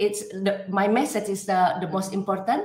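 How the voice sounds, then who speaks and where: An animated voice with a non-native accent comes through with audible room echo. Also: woman. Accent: foreign. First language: not English. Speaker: coach. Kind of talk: interview.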